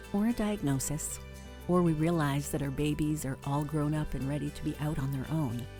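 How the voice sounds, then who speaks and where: With music in the background, a woman talks at a moderate pace in a very deep, low pitch with ordinary pitch variation. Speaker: podcast host for midlife women. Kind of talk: podcast intro monologue, scripted-style narration.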